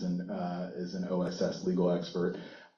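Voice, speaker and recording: Lively intonation comes through alongside noticeable background noise and audible room echo. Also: man. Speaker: university intellectual property attorney. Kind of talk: panel talk. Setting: conference stage with audience. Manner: loud.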